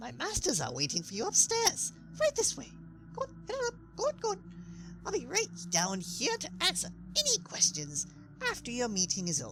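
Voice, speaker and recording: A man in a put-on character voice at a fairly quick pace, with long, frequent pauses and clear background noise. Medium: audio drama. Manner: chatty, rambling, friendly.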